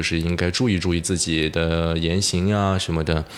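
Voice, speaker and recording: A man with a very deep, low pitch talks at a moderate pace in a monotone, flat intonation as noticeable background noise continues. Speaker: broadcasting student. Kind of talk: casual chat.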